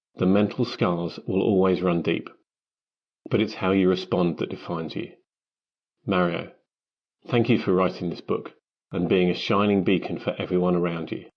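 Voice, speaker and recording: With a British accent and a very deep, low pitch, a man speaks at a moderate pace in fairly even intonation, leaving long, frequent pauses. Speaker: marketing professional, foreword writer. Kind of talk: reading aloud.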